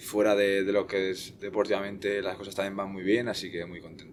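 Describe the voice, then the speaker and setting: This is a man with a fairly low-pitched voice. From Basque Country, Spain (Eibar); born in northern Portugal. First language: Portuguese (speaking Spanish). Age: 20s. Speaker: futsal goalkeeper. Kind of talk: podcast interview.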